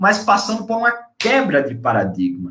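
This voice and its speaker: This man has a northeastern Brazilian accent and a fairly quick pace. Audible room echo surrounds his voice. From Brazil, Northeast (Natal, Rio Grande do Norte). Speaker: preacher / Bible teacher. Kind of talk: sermon / Bible teaching. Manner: conversational, with fillers and tag questions.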